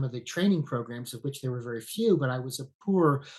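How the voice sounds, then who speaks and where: A man with an American accent speaks at a fairly high pitch in a somewhat breathy voice. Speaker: veterinarian. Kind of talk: podcast interview.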